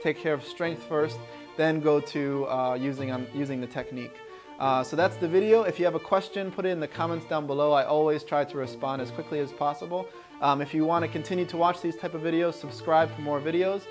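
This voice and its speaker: A man speaks at a fairly quick pace with ordinary pitch variation. Clear music plays in the background. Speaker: fitness coach. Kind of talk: tutorial outro, casual vlog chat. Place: home room. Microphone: phone near.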